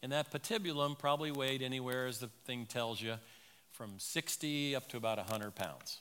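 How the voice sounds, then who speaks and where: A man talks at a moderate pace and a medium pitch. His tone is bright and sharp, with ordinary pitch variation. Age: 60s. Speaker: medical missionary doctor. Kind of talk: sermon. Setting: church pulpit.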